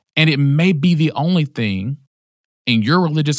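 An animated man with a fairly high pitch and lively intonation. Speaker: podcast host. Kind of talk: casual chat.

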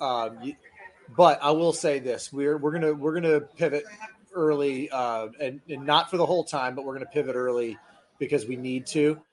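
Against noticeable background noise, a man with an American accent talks at a moderate pace, his fairly high pitch carried in fairly even intonation. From Florida. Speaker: podcast host. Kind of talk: casual banter about golf betting. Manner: casual, rambling, joking.

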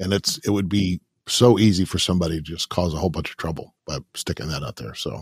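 A man speaks fairly quickly, and the sound is dry and close with no echo. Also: very clean recording, silent background. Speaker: podcast co-host, creator. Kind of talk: casual panel chat.

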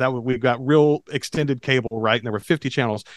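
A man with an American accent, a plain, everyday voice at a medium pitch and fairly quick pace, ordinary pitch variation, dry, close sound with no echo, and a quiet background. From US South. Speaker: podcast producer. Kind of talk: casual chat.

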